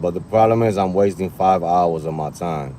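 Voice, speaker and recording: A man talks at a moderate pace and ordinary pitch variation, with noticeable background noise in the recording. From New York. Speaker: rideshare driver streamer. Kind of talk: live stream chat. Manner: loud; animated.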